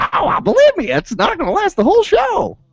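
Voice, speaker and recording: Sound effects play in the background as a man does a put-on character voice. His pitch is extremely high, his pace fairly quick. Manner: silly, exaggerated.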